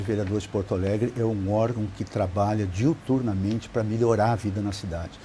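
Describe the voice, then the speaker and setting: Talking at a fairly quick pace, a man uses a fairly low pitch with ordinary pitch variation. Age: 60s. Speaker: city council legislative director. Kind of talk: interview. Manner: hesitant, with fillers.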